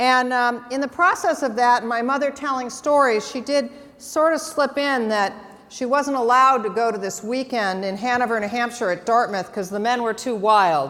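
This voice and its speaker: Audible room echo around a woman's high voice in an American accent, with ordinary pitch variation. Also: moderate pace. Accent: Midwestern, little Boston. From Massachusetts, Boston area. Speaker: marketing executive. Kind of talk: conference talk. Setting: stage with audience.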